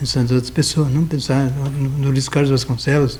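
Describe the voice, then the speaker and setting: Somewhat breathy, a man speaks with a dark, mellow tone at a medium pitch and a moderate pace. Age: 70s. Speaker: lawyer. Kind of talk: interview. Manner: halting.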